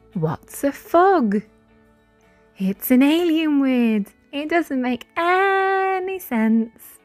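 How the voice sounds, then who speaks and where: Over music in the background, a woman with a high pitch talks at a very slow pace, her pitch swinging very widely. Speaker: phonics teacher. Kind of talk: children's phonics lesson. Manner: slow, clear.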